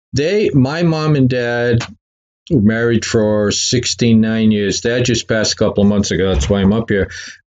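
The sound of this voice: Speaking in a Boston accent, a man uses a medium pitch and a slightly mellow tone at a moderate pace, with ordinary pitch variation. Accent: Boston-area New England.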